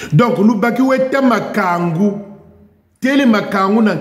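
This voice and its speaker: Audible room echo surrounds this man over a quiet background. His pitch swings very widely. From Republic of the Congo. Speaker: YouTube commentator. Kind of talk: video monologue. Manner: animated. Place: garage. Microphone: headset.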